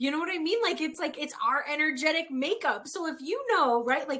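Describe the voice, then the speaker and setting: Loud and bright, this woman's voice has a sharp tone. Her intonation is lively. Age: 30s. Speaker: human design and breath work coach. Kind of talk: casual chat.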